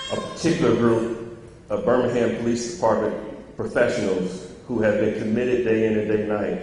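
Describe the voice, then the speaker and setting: With audible room echo and light background noise, a man talks at a moderate pace in a fairly even intonation. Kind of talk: formal public remarks and reading. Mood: solemn, consoling. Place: church. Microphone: handheld.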